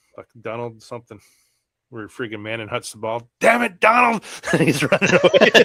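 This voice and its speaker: Loud and bright with a sharp tone, this voice with an American accent moves at a moderate pace through very wide pitch swings, the sound dry and close with no echo. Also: man. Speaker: fantasy football podcast co-host. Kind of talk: casual chat.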